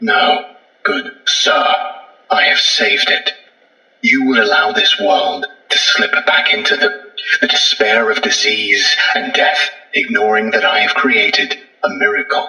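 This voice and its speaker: Someone speaks in a put-on character voice at a fairly slow pace, with a slight echo. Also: man, high pitch for a man. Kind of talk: archaic formal speech. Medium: audio drama. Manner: formal, condescending, zealous.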